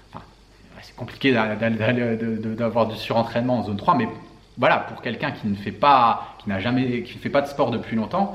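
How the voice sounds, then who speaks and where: A man with a medium-pitched voice speaks in a room with audible echo. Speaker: health and fitness coach. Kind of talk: Q&A video monologue. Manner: casual, halting with fillers.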